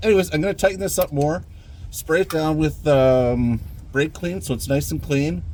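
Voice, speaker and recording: Lively intonation at a moderate pace. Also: man, fairly high pitch for a man. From Canada. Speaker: DIY auto mechanic. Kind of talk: tutorial. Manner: casual, hesitant.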